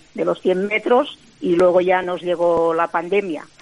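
Noticeable background noise sits under a woman speaking fairly slowly. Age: 60s. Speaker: world champion sprinter and author. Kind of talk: interview.

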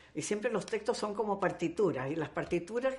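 A woman's voice with lively intonation. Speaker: actress. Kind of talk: interview. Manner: animated.

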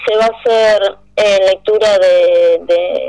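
A woman with an ordinary speaking voice at medium pitch. Her intonation stays fairly even. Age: 40s. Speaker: feminist activist. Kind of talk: radio interview.

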